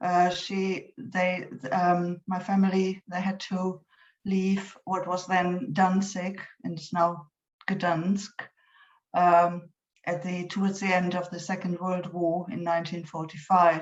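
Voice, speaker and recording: A woman speaks very slowly at a medium pitch. Her intonation is monotone and flat. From Germany. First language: German. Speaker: poet. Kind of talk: poetry reading with introductions. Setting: online event. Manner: halting, many fillers.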